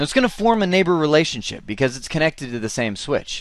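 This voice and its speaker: Against a quiet background, a man speaks in a fairly high pitch with very wide pitch swings. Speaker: networking instructor. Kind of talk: tutorial. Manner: fast; casual, conversational.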